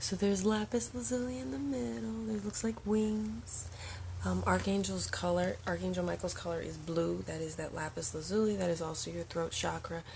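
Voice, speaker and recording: A soft-spoken whisper at a moderate pace. There is audible echo from the room. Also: woman. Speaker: spiritual channel host, card reader. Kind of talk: livestream oracle card reading. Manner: soft-spoken, near whisper.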